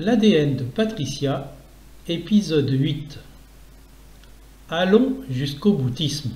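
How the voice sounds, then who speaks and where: A fairly high-pitched man's voice, dark and mellow in tone and somewhat breathy, with lively intonation, a very slow pace, and long, frequent pauses. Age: 60s. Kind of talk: reading of own essay on economics.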